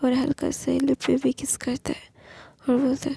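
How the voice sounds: A woman speaks with a husky, rough edge, vocal fry and a dark, mellow tone at a high pitch, keeping a monotone, flat intonation at a moderate pace in a dry, close sound with no echo.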